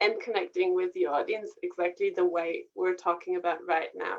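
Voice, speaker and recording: Speaking in a German accent, a woman makes very wide swings in pitch. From Germany, rural. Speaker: singer and vocal coach. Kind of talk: casual interview.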